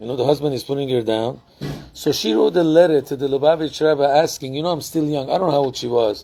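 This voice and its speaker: The voice has a dark, mellow tone and moves at a fairly quick pace with ordinary pitch variation. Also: man. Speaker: rabbi. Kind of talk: lecture. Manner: conversational, with fillers.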